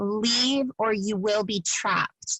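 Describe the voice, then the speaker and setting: A woman uses a booming, put-on character voice. Her pitch sits fairly high, with fairly even intonation. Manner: commanding, warning.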